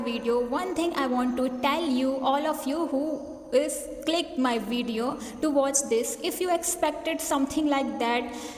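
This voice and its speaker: A woman speaks at a fairly slow pace with a high pitch and a non-native accent. Her intonation stays fairly even, and there is noticeable background noise. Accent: non-native English, many mistakes. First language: not English. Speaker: English learner. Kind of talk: casual talk to camera.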